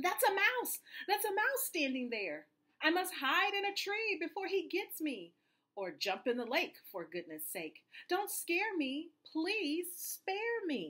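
A woman puts on a character voice at an extremely high pitch, with a bright, sharp tone. She speaks slowly, and her pitch swings widely.

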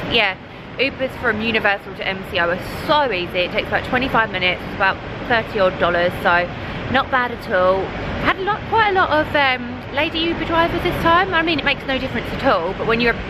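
Against noticeable background noise, a woman talks at a very fast pace. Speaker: travel vlogger. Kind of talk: casual vlog chat. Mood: cheerful, slightly anxious. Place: station. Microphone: phone near.

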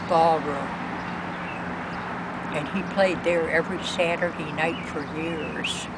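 Over loud background noise, a woman speaks with long, frequent pauses, the sound dry with no echo. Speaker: interviewee. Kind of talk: interview answer. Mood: warm, reminiscing. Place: garden. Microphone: camera far.

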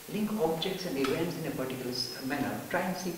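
Amid noticeable background noise and audible room echo, a man talks at a very fast pace. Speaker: spiritual teacher. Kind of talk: lecture. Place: classroom.

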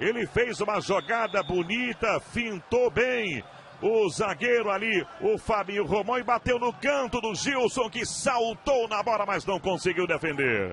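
High-pitched male speech with hardly any pauses over noticeable background noise. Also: ordinary pitch variation, fairly slow pace. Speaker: football commentator. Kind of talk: live sports commentary. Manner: animated, emphatic goal calls.

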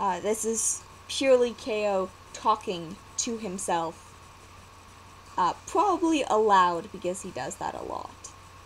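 A woman with a fairly high pitch talks at a fairly slow pace with lively intonation and long, frequent pauses, over light background noise. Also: big swings in loudness. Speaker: vlogger and storyteller. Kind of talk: casual talk to camera. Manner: hesitant, many fillers. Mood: cheerful, relaxed. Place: home room. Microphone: webcam.

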